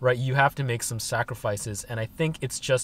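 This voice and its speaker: Fairly even intonation carries at a moderate pace in a dry sound with no echo. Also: man. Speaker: van-life vlogger. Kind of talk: casual vlog chat. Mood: calm, reflective. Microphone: phone near.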